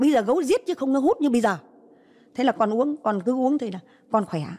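The woman's tone is dark and mellow. She speaks with that tone throughout. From northern Vietnam, Hai Phong; northern Vietnam. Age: 80s+. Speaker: Agent Orange victim's grandmother. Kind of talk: testimony. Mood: earnest, recounting hardship. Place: studio. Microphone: handheld.

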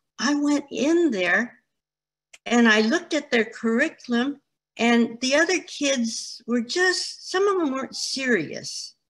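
A woman talks at a fairly slow pace in a high pitch with lively intonation. The background is quiet. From California, San Francisco Chinatown; California. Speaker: retired educator. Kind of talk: oral history interview. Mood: warm, reflective storytelling. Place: home room. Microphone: video call.

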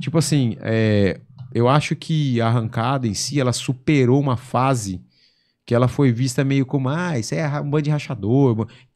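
Over a quiet background, a man talks at a moderate pace and medium pitch, with ordinary pitch variation. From São Paulo state, Brazil (São José do Rio Preto); São Paulo, Brazil. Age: 40s. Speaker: drag racing driver; podcast guest. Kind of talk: casual interview chat. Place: studio. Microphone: studio mic.

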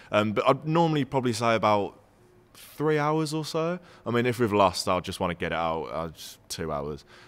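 The speaker has a Brummie accent and very wide pitch swings. The pace is moderate. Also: man, medium pitch for a man. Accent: Brummie (Birmingham) English. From Birmingham, England. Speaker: football YouTuber. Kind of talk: casual chat; casual podcast Q&A chat. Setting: social club venue. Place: bar. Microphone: studio mic.

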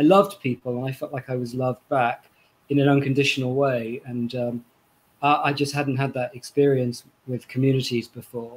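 A man's fairly high voice in a Welsh accent at a moderate pace. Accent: Welsh-tinged British English. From Wales. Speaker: novelist. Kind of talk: book reading and panel conversation. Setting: video call. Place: home room.

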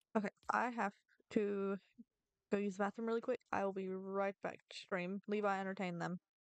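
Against a quiet background, a woman speaks at a moderate pace in a monotone, flat intonation, the sound dry with no echo. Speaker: gaming streamer. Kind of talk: casual gaming livestream chat. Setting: home livestream with online chat. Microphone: studio mic.

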